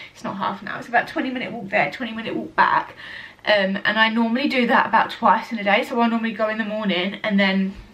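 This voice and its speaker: The speech moves at a very fast pace with ordinary pitch variation. Noticeable background noise runs underneath. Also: woman, fairly high pitch for a woman. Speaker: vlogger. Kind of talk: casual vlog chat. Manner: chatty, rambling with fillers.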